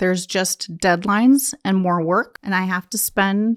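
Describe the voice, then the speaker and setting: A woman with an unremarkable speaking voice at medium pitch, fairly slow pace and ordinary pitch variation, in a very clean recording with a silent background and a dry, close sound with no echo. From US, Polish immigrant household. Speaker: estate planning attorney. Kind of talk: interview.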